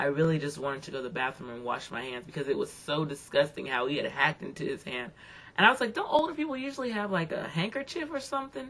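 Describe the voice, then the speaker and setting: Her pitch fairly low, a woman speaks very fast with very wide pitch swings. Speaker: video blogger. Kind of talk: casual video blog monologue. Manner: conversational, many fillers.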